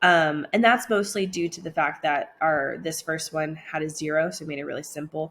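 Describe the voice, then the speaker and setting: Her fairly low voice carries ordinary pitch variation as the woman speaks. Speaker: math teacher. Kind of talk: lecture. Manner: fast; many filler ums.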